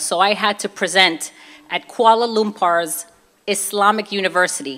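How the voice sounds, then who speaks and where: Bright and sharp in tone, a woman talks at a moderate pace with ordinary pitch variation. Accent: Brooklyn. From Brooklyn, New York (Puerto Rican family). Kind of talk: testimony. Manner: animated.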